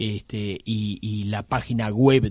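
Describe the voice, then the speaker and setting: On a very clean recording with a silent background, a man with a fairly low pitch speaks with fairly even intonation. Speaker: quality institute director. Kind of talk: radio interview. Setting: studio. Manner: halting.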